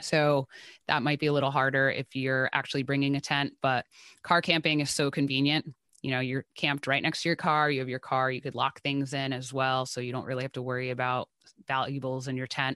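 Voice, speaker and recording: Someone with an American accent talks at a fairly quick pace in a flat, monotone way with a bright, sharp tone. The sound is dry and close with no echo, and the background is quiet. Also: woman, very deep, low pitch for a woman. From New Jersey. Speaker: music festival content creator. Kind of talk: casual chat.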